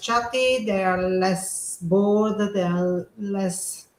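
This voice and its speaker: With a non-native accent, a woman talks at a very slow pace. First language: not English. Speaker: teacher and online seller. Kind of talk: casual chat. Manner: halting.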